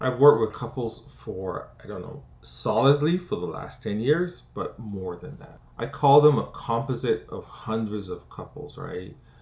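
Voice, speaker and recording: A man's somewhat breathy, medium-pitched voice with lively intonation, big swings in loudness, a fairly slow pace and hardly any pauses. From Barbados. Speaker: conflict and relationship coach. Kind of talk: educational talk to camera. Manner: conversational, frequent 'right?' tags.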